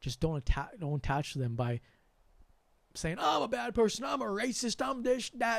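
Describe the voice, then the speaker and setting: A man speaks loudly at a moderate pace, with a high pitch, an American accent and an animated tone. His pitch swings very widely, and the recording is very clean with a silent background. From US, Sri Lankan family. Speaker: spiritual channel host. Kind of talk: livestream monologue. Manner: animated, sudden loud bursts.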